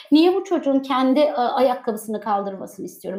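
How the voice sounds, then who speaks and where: A woman speaks high in pitch with lively intonation. Her pace is fairly quick. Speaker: online show host. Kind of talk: interview.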